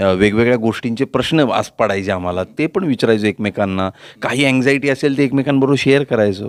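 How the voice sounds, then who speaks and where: A man talks in a normal speaking voice at medium pitch, with ordinary pitch variation, very even loudness and a dry, close sound with no echo. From Pune, Maharashtra. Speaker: actor. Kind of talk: interview.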